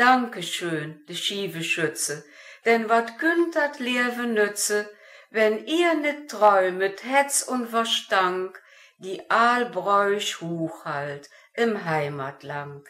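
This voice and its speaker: In a Lower Rhine accent, a woman speaks at a very slow pace. Her tone is bright and sharp, with very wide pitch swings. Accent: Lower Rhine dialect of Wevelinghoven. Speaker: amateur dialect poet. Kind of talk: poetry reading.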